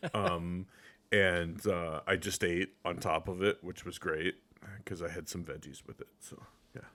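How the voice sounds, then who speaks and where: In a very clean recording with a silent background, a man with a very deep, low pitch and a bright, sharp tone speaks quietly and fairly slowly in a flat monotone, his loudness swinging widely. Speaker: video game podcast co-host. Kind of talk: casual chat.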